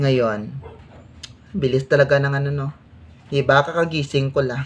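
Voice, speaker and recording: Delivered at a moderate speed, the speech carries fairly even intonation. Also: woman, very deep, low pitch for a woman. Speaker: vlogger. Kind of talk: casual eating vlog.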